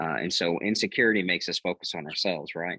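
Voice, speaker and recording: A man with an American accent and a very deep, low pitch talks very fast in a bright, sharp tone with ordinary pitch variation, recorded dry and close with no echo. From Texas, Lubbock. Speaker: pastor. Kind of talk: podcast interview. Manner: halting, many repetitions and fillers.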